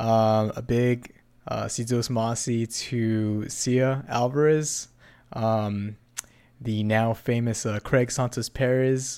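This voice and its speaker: Very slowly and in a monotone, flat intonation, a man talks at a medium pitch. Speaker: podcast host. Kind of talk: casual chat. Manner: filler-heavy, hesitant.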